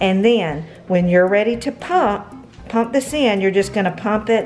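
Faint music plays in the background as a woman talks at a fairly slow pace with ordinary pitch variation. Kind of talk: tutorial. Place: home room. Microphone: phone near.

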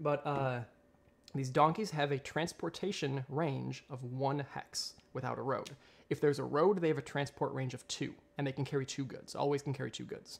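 A man speaks with a fairly high pitch. Vocal fry runs through his voice. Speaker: board game streamer. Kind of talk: live solo playthrough commentary. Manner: halting, repeats words.

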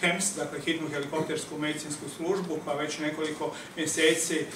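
Someone talks at a fairly quick pace in a monotone, flat intonation, with noticeable background noise behind them. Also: man. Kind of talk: press conference statement. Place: hall. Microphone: handheld.

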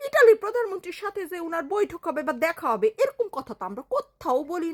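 Extremely high in pitch, a woman talks in an animated tone with very wide pitch swings. The sound is dry and close with no echo. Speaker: political commentator. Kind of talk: political rant.

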